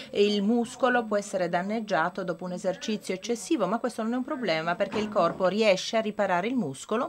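With a non-native accent, a woman talks at a very fast pace with hardly any pauses. Her medium pitch shows ordinary pitch variation over light background noise. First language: not Italian (speaking Italian). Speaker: medical researcher; conference presenter. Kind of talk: lecture. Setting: conference with audience. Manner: halting, with many fillers. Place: hall. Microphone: podium.

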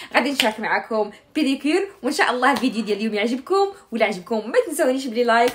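Amid noticeable background noise, a woman speaks very fast in a high voice. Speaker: home vlogger. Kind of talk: casual vlog chat. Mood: cheerful, laughing. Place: home room. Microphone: phone near.

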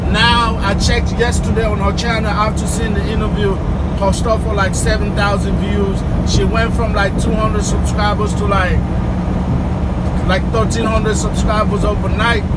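The speech keeps a moderate pace while loud background noise plays beneath it. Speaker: truck driver vlogger. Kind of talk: casual vlog chat. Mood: opinionated, gossipy. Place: car. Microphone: phone near.

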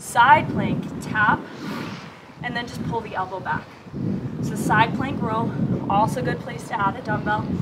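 Woman at a moderate pace, ordinary pitch variation, noticeable background noise. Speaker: fitness instructor. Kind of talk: workout instruction. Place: garden.

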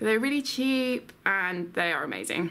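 The speaker has a southern English accent. The pace is fairly slow. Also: woman. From England. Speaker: vlogger. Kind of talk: casual vlog. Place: home room.

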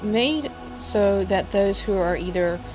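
A woman talks here. Behind her voice, music is playing. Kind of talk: casual vlog narration. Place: forest. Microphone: phone near.

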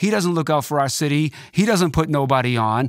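With a Boston accent, a man talks in an animated tone at a fairly quick pace with lively intonation, the sound dry with no echo against a quiet background. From Boston, Dorchester. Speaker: DJ and record producer; DJ. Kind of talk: casual interview chat. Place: studio. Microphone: studio mic.

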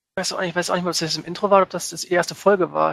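This man's voice is high-pitched and monotone, with flat intonation. He speaks at a very fast pace. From northern Germany. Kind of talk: casual chat.

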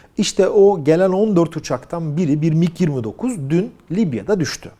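A man's dark, mellow tone comes through against a quiet background. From Turkey. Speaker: aviation news commentator. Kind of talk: video commentary. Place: home room. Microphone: lapel.

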